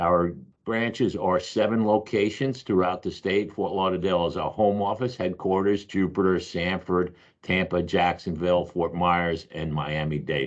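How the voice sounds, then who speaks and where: Over a quiet background, a man with an American accent speaks at a moderate pace, very deep and low in pitch with ordinary pitch variation. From US Northeast, Long Island, New York. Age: 60s. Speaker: roofing company owner. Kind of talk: webinar presentation.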